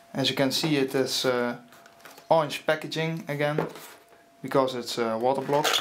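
A man with a non-native accent speaks at a moderate pace in a fairly high voice, with fairly even intonation. Long, frequent pauses break up his speech, and there is noticeable background noise. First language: not English. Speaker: PC hardware hobbyist. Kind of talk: casual unboxing narration. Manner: hesitant, many filler sounds. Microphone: phone near.

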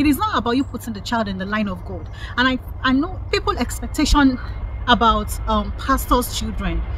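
Over light background noise, a woman speaks at a fairly quick pace. The sound is dry, with no echo. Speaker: lifestyle vlogger. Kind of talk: opinion commentary vlog. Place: garden. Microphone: phone near.

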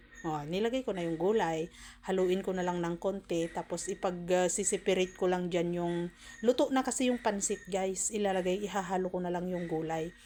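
A woman speaks at a fairly quick pace in a dark, mellow tone with fairly even intonation. The recording is very clean, with a silent background. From Philippines. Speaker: cooking vlogger. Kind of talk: casual cooking tutorial. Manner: chatty, frequent laughter.

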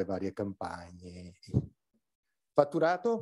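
A man speaks at a fairly slow pace with a dark, mellow tone and medium pitch against a quiet background. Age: old. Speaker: academic labour researcher; conference panelist. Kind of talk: conference talk. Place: hall. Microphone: podium.

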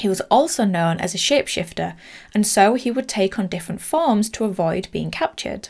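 At a moderate pace, a woman with a medium pitch and slightly mellow tone talks with lively intonation and some vocal fry.

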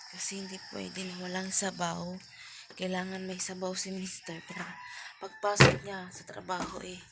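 A woman's medium-pitched voice at a moderate pace, monotone and flat in intonation, with big swings in loudness, audible room echo and noticeable background noise. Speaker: vlogger. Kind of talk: casual vlog. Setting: at home.

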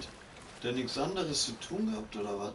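A man speaks at a moderate pace over noticeable background noise, with audible echo in the room. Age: 20s. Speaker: gaming streamer. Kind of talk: live gaming stream chat. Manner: animated.

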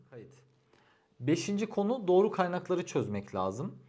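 A man with vocal fry and very wide pitch swings, at a moderate pace. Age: 30s. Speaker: civil engineer giving exam advice. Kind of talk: advice vlog monologue.

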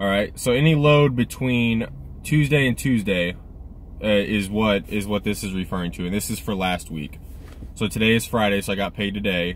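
An ordinary speaking voice from a man with a fairly low pitch, at a moderate pace, with a dry sound with no echo and light background noise. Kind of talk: casual vlog chat. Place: car. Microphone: phone near.

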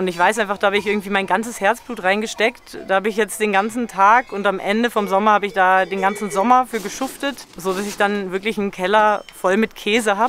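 Over noticeable background noise, a woman speaks at a fairly quick pace with hardly any pauses. Her intonation is monotone and flat. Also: medium pitch for a woman. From Germany. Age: 20s. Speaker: alpine dairymaid and cheesemaker. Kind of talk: documentary interview.

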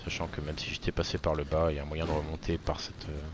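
A man talks at a very fast pace with a very deep, low pitch and monotone, flat intonation. The sound is dry with no echo, though noticeable background noise is present. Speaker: gaming youtuber. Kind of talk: gameplay tutorial voiceover, casual. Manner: casual, chatty, fillers.

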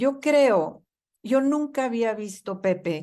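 The speaker has a Mexican accent and ordinary pitch variation. The pace is fairly slow. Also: woman. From Mexico. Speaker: market research executive; interview guest. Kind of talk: radio interview. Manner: animated. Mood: earnest, moved. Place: home room. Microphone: video call.

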